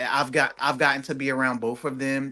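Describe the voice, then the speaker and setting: A man with a Philadelphia accent, fairly high pitch and a bright, sharp tone against a quiet background. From US Northeast, Philadelphia. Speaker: singer and actor. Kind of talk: interview.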